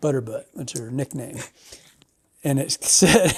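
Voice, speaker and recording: The speaker mumbles at a moderate pace. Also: man. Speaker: podcast host, fly fishing. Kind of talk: casual chat. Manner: mumbling.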